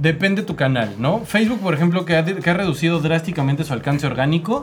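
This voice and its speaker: With a central Mexican accent, the voice moves at a fairly quick pace with an animated tone and lively intonation. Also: man. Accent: Mexican Spanish (central Mexico). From Mexico, Estado de México. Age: 30s. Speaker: podcast host, marketing. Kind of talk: casual chat.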